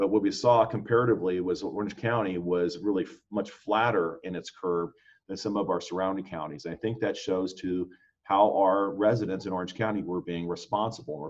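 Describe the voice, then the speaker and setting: A fairly low-pitched man at a fairly quick pace, with fairly even intonation. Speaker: county sheriff. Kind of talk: panel presentation to business chamber. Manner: fast.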